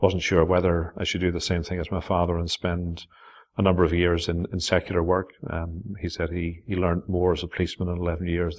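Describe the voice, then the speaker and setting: At a very fast pace, the speaker talks in a Northern Irish accent with monotone, flat intonation. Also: man. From Northern Ireland. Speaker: pastor. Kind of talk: interview answer.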